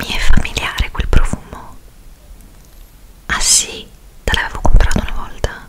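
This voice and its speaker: Whispering at a fairly slow pace, the voice leaves long, frequent pauses and makes big swings in loudness. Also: woman. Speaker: ASMR roleplay host. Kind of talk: ASMR roleplay. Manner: whispered, soft-spoken. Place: home room. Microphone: studio mic.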